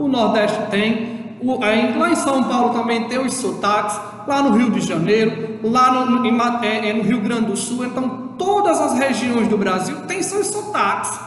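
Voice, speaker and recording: A fairly slow delivery in a northeastern Brazilian accent, hardly any pauses, noticeable background noise throughout. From Brazil, Northeast. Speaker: schoolteacher. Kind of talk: lecture. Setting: recorded remote class video. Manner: halting, with repeated fillers.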